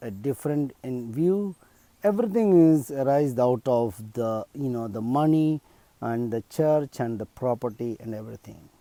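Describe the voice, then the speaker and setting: A man with a Keralan accent speaks at medium pitch in a dark, mellow tone with ordinary pitch variation. The recording is very clean and dry, close with no echo, over a silent background. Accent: Indian English (Malayali). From India, Kerala. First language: Malayalam. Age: 50s. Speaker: video blogger. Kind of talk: personal appeal monologue. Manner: hesitant, many fillers.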